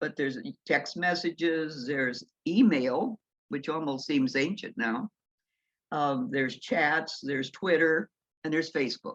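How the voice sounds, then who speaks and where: A woman speaks with a very deep, low pitch and lively intonation at a fairly slow pace. The sound is dry and close, with no echo. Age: 80s+. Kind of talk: talk to church congregation.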